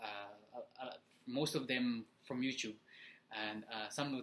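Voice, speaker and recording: Speaking with a Filipino accent, a man has a bright, sharp tone at a medium pitch and a moderate pace. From Philippines. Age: 20s. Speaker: motivational vlogger. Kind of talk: casual vlog talk. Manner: halting, many fillers.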